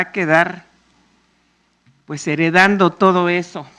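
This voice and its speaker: A woman speaks in a Mexico City accent against a quiet background. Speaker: panel moderator. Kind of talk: public talk. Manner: loud; animated.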